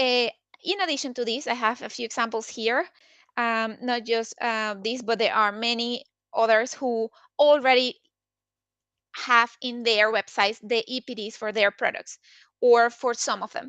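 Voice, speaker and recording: A woman with a non-native accent talks at a moderate pace, her pitch fairly high and her tone bright and sharp. The sound is dry and close with no echo, the background is quiet, her intonation stays fairly even, and she leaves long, frequent pauses. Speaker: sustainability consultant. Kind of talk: webinar presentation. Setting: online webinar. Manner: halting, many fillers.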